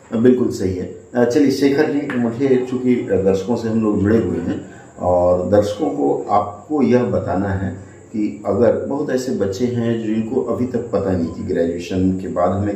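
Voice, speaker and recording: Noticeable background noise and audible room echo surround the speech. A man talks at medium pitch with ordinary pitch variation. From West Bengal, jute industrial area. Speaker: exam coaching interviewer. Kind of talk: interview. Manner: hesitant with filler sounds.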